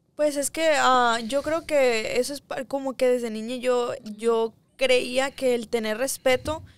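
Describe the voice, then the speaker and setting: Very slowly and with fairly even intonation, a woman speaks at a high pitch in a dry sound with no echo. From Ensenada, Mexico; Mexico. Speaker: singer; guest. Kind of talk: interview. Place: studio. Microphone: studio mic.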